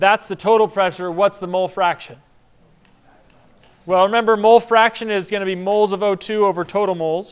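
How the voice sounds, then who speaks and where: A man with a high voice talks at a fairly quick pace and fairly even intonation, yet leaves long, frequent pauses. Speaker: chemistry instructor. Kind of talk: lecture. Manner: casual, conversational.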